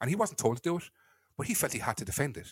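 A man with a Cork accent, fairly high pitch, very wide pitch swings, vocal fry and a very fast pace, in a dry, close sound with no echo. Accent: Cork Irish. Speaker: podcast host and football fan. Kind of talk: casual chat podcast. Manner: ranting, animated.

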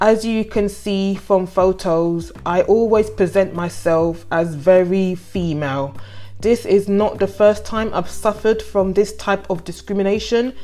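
Over noticeable background noise, a woman of medium pitch speaks at a fairly slow pace with hardly any pauses and fairly even intonation. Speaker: podcast host. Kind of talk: solo podcast commentary, reading a news story aloud. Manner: casual, chatty, halting.

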